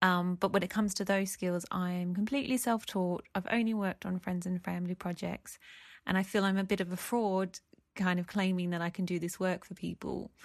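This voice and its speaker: Against a quiet background, a woman with an Australian accent talks at a fairly quick pace with fairly even intonation. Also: medium pitch for a woman. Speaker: listener sending a voice question. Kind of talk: recorded voice message.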